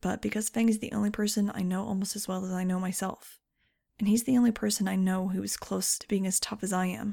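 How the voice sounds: Fairly even intonation from a natural reading voice, with a quiet background.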